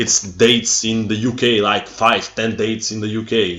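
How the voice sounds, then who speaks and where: Speaking with a Bulgarian accent, a man uses a medium pitch and monotone, flat intonation at a moderate pace amid noticeable background noise. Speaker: metal fan vlogger. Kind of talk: casual rant to camera. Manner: halting.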